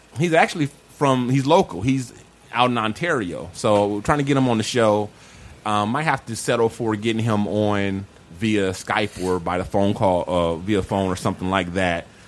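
At a moderate pace, a man with a normal speaking voice talks in a fairly low pitch that varies in an ordinary way. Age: 40s. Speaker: podcast host. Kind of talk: casual chat. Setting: studio.

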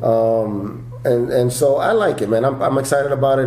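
With an American accent, a man speaks at a medium pitch and a moderate pace in a monotone, flat intonation. Noticeable background noise is present. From New York, the Bronx. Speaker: stand-up comedian and actor. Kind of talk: casual interview chat.

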